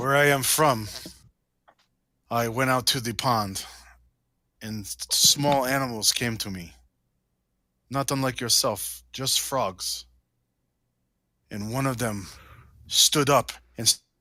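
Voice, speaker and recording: A man puts on a character voice at a medium pitch. He moves at a fairly slow pace with long, frequent pauses. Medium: actual play. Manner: grandiose.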